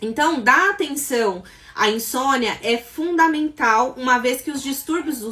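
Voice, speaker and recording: Noticeable background noise sits behind a woman's voice. She speaks at a moderate pace with a high pitch. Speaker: psychologist and sleep therapist. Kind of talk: live stream talk. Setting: live stream.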